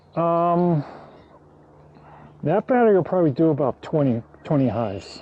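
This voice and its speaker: A man's fairly high voice at a moderate pace, with very wide pitch swings, very even loudness and long, frequent pauses. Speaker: backyard beekeeper. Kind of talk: tutorial.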